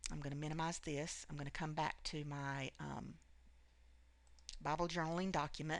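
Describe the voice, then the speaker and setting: A woman speaks with a very deep, low pitch. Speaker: craft tutorial creator. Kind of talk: screen tutorial. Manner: fast; hesitant with many fillers.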